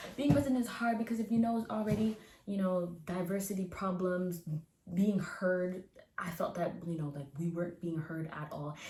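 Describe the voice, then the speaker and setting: A woman with ordinary pitch variation, against noticeable background noise. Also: medium pitch for a woman, moderate pace. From Canada (Nova Scotia). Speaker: recent university graduate. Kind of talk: interview answer. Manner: casual, chatty.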